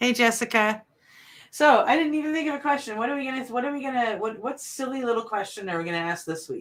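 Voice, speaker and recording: Talking at a very fast pace, a woman uses a high pitch with an East Coast accent. Her intonation is lively. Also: very clean recording, silent background. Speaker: talk show co-host. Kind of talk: casual chat.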